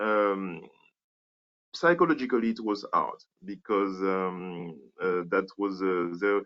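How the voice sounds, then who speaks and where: Pitch varies in an ordinary way as a man talks in a French accent. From Martinique. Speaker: animator and filmmaker. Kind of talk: interview. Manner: halting, many fillers.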